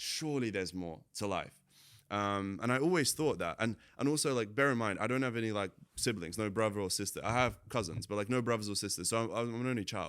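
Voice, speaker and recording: On a very clean recording with a silent background, a man with a British accent talks at a fairly quick pace in a fairly low pitch. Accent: sounds kind of British. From Latvia, moved to UK at 10. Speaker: entrepreneur, marketing agency owner. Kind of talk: casual interview chat. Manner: casual, filler-heavy.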